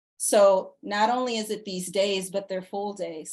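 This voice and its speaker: At a fairly slow pace, a woman speaks in a normal speaking voice with a medium pitch. Her intonation is fairly even over a quiet background. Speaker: leadership program director. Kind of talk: informational presentation.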